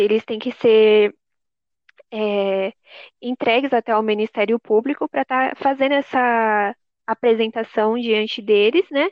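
The woman has a normal speaking voice with a fairly high pitch. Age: 20s. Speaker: law graduate. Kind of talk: casual chat.

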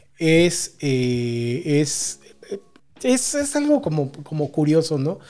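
A man with a Mexican accent speaks at a very slow pace, fairly high in pitch and dark and mellow in tone, with lively intonation. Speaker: podcast co-host. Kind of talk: casual chat.

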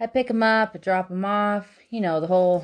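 A woman with an American accent talks at a moderate pace with ordinary pitch variation over a quiet background. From California, San Bernardino Mountains. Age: 20s. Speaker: podcast host and dog sitter. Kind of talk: casual monologue. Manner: hesitant, many fillers.

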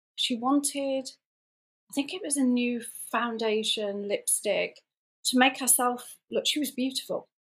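Pausing often and at length, a woman speaks fairly slowly at a high pitch with ordinary pitch variation. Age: 50s. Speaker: stroke survivor and artist. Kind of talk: interview. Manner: halting.

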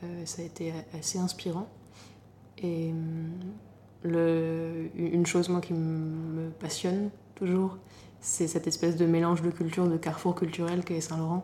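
Fairly low-pitched woman, monotone and flat, at a moderate pace broken by long, frequent pauses. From Normandy, France. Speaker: playwright and stage director. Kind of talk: interview.

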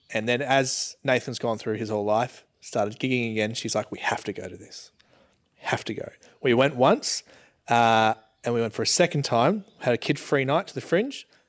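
Over a silent background in a very clean recording, a man with an Australian accent talks at a moderate pace, medium pitch and ordinary pitch variation. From Australia, Geelong, Victoria. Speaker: content creator, podcast co-host. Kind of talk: casual chat. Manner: quiet.

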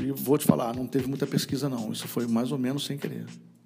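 A man speaks with music playing in the background and audible room echo. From Rio de Janeiro, Brazil. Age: 50s. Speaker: radio broadcaster. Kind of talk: casual interview.

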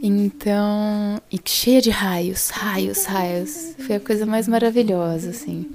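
The speech moves at a very slow pace with hardly any pauses and ordinary pitch variation. Noticeable background noise runs behind it. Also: woman, medium pitch for a woman. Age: 40s. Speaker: podcast host. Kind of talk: casual monologue.

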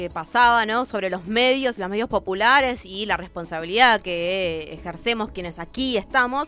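The woman's pitch swings very widely as she talks at a moderate speed. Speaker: community radio co-host. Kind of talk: live radio interview and commentary.

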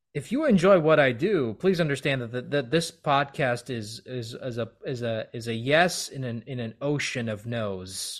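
Here is a man with a plain, everyday voice and a medium pitch. He keeps a moderate pace, with lively intonation and big swings in loudness. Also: hardly any pauses. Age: 30s. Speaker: podcast host. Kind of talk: casual interview chat.

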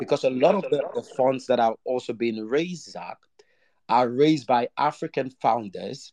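Dry and close with no echo, a man's normal speaking voice moves at a fairly slow pace, with medium pitch and ordinary pitch variation. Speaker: podcast host. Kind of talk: live audio room conversation. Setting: online audio space.

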